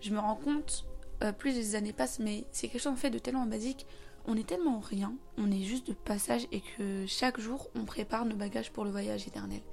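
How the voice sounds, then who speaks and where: Over music in the background, a woman with a fairly high pitch talks fairly quickly with lively intonation. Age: 20s. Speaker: podcast host. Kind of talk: casual monologue.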